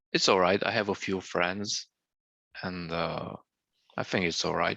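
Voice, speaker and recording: A man with a Romanian accent speaks at a moderate pace in a very deep, low pitch, his intonation fairly even. The sound is dry and close with no echo, over a quiet background. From Romania, Banat region (Lugoj, Timișoara). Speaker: former student living abroad. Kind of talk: interview. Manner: halting.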